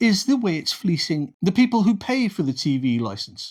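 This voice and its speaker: Here a man with a British accent speaks at high pitch and a moderate pace. The recording is very clean, with a silent background. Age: 60s. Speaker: political commentator. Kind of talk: opinion monologue. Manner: sarcastic.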